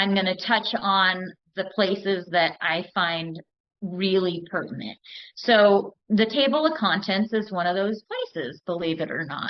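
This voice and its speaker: A woman at a medium pitch and a fairly slow pace, with ordinary pitch variation. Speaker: recovery step study leader. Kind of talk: study group talk. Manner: deliberately slow-paced.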